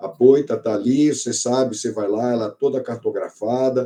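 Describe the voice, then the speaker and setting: A man with a dark, mellow tone, fairly even intonation and a fairly quick pace. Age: 60s. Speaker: biologist and oceanographer, sailor. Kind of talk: panel talk at an event.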